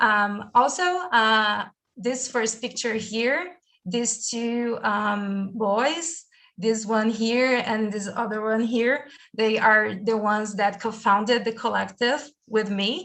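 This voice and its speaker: A woman speaks with a Brazilian accent in a fairly high pitch. Her pace is very slow. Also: ordinary pitch variation. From Brazil, big city. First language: Portuguese. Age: 20s. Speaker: university student. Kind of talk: presentation in online session. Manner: hesitant, many fillers.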